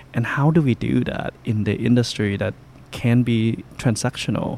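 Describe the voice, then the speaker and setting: Noticeable background noise accompanies a man speaking at a fairly slow pace. His medium pitch shows ordinary variation. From Laos (Luang Prabang). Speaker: restaurant and brewery owner. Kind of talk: interview. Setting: on location at a brewery.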